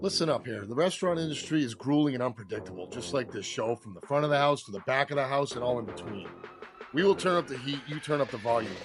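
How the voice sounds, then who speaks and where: A man's medium-pitched voice, very fast and lively in intonation, with music in the background. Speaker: chef and podcast host. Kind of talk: podcast intro.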